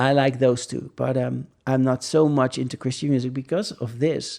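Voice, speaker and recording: A man with a Dutch accent speaks at a fairly slow pace in a medium-pitched voice with a dark, mellow tone. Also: very clean recording, silent background. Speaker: religious podcast host. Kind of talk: casual monologue. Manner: halting, many fillers.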